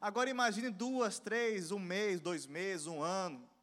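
A man with a high pitch speaks in an animated tone with lively intonation at a moderate pace. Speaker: preacher. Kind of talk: sermon to a young church audience. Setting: church with live audience. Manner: animated, rhetorical questions, calls for audience response; emphatic, fervent, exhorting.

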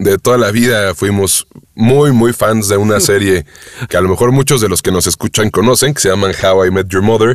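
This man has a fairly low pitch and a Mexican accent. His loudness stays very even. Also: ordinary pitch variation, moderate pace, dry, close sound with no echo. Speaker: voice actor and audiobook narrator. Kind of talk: interview conversation.

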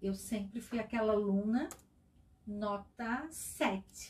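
This woman's speech moves at a very slow pace. The tone of her voice is dark and mellow. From Itajaí, Santa Catarina, Brazil. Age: 40s. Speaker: business founder. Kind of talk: interview. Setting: studio.

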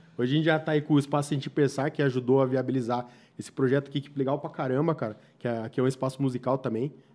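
A man's fairly high, dark and mellow voice, very fast with monotone, flat intonation. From Brazil, São Roque region (São Paulo state). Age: 30s. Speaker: podcast host. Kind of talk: casual interview chat. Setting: studio.

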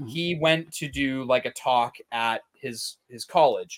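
Recorded with a dry, close sound and no echo, a man in an ordinary speaking voice talks fairly slowly at medium pitch with ordinary pitch variation. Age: 20s. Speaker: podcast co-host. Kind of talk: casual chat.

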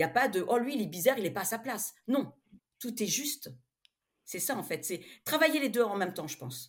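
Somewhat breathy and fairly high, a woman's voice moves at a fairly quick pace with very wide pitch swings, big swings in loudness and long, frequent pauses. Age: 50s. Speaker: romance novelist. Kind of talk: interview.

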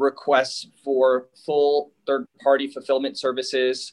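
Very slowly, a man speaks at a fairly high pitch. His intonation is monotone and flat. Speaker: hemp business owner. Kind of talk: interview.

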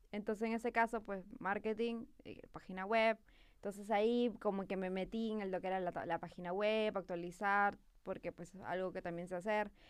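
A woman with an ordinary speaking voice talks at a medium pitch and moderate pace, keeping her intonation fairly even. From Peru. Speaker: marketing professional. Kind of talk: casual chat. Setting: studio.

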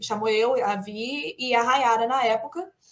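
High-pitched female speech marked by ordinary pitch variation. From Minas Gerais, Brazil. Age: 30s. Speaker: English teacher, actress and voice actor. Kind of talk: casual chat.

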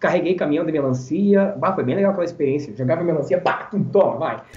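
A man's lively intonation, with audible room echo. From Rio Grande do Sul, Brazil (Barão do Triunfo, rural). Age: 20s. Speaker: event presenter and radio announcer. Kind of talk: casual interview chat. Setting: live-streamed podcast.

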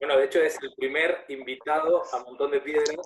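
Speech comes at a moderate speed. Its intonation stays monotone and flat. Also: man. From Argentina. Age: 30s. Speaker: podcast host. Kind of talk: casual interview conversation.

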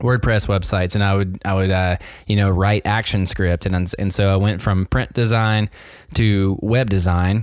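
With an American accent, a man talks at a moderate pace in a fairly low voice with fairly even intonation. He has an unremarkable speaking voice. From US South, Nashville, Tennessee. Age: 40s. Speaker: designer and small business owner. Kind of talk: interview. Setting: remote call from home.

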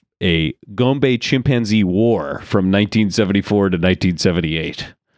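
A man's fairly low, an ordinary speaking voice at a moderate pace, dry and close with no echo. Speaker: comedy podcast host. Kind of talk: improv comedy chat. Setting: studio. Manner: laughs often.

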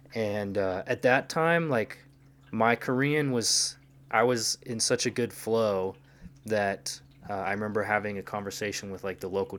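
Featuring an unremarkable speaking voice, a man at fairly low pitch talks at a moderate pace with ordinary pitch variation in a very clean recording with a silent background. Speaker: language learner, polyglot. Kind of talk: casual chat.

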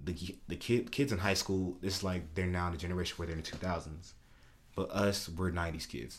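A man speaks fairly quickly in a very deep, low pitch, somewhat breathy, with ordinary pitch variation, on a very clean recording with a silent background. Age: 20s. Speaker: podcast co-host. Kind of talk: casual chat. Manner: animated.

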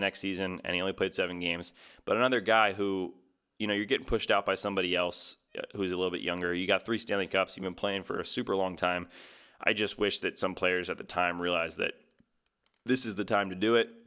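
Heard on a very clean recording with a silent background, a man with an American accent speaks at a very fast pace in a fairly low, bright, sharp voice with fairly even intonation. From New Jersey. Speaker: sports podcast host. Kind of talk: solo casual commentary.

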